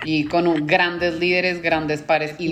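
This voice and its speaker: A woman's very deep, low voice at a moderate pace with fairly even intonation, music in the background. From Colombia. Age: 30s. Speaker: business manager. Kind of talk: interview.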